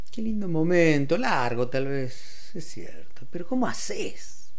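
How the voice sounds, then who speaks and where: A man with a high pitch talks at a very slow pace with hardly any pauses. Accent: Rioplatense. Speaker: radio host. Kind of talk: radio music show presentation. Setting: radio studio.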